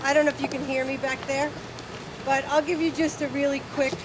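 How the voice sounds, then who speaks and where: With noticeable background noise, a woman speaks in a high pitch with a New Jersey accent. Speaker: hog farmer. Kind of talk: presentation.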